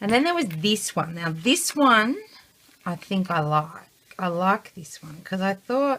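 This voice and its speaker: A woman with an Australian accent speaks at a very slow pace. Her medium pitch carries lively intonation. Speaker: scrapbooker. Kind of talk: casual tutorial. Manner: soft-spoken.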